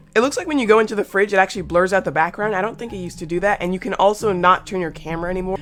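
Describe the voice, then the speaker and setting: A woman talks with ordinary pitch variation, noticeable background noise beneath her. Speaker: gaming YouTuber. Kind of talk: casual gameplay commentary.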